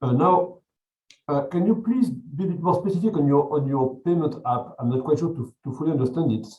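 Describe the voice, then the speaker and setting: This man talks at a fairly quick pace in a fairly high, somewhat breathy voice with lively intonation. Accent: French. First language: French. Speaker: jury member. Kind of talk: jury questioning. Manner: halting, many repetitions.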